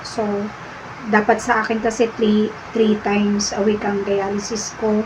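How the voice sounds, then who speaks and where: A woman speaks at a fairly slow pace in a fairly high, monotone voice with flat intonation, over noticeable background noise. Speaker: dialysis patient vlogger. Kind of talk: casual vlog talk to viewers.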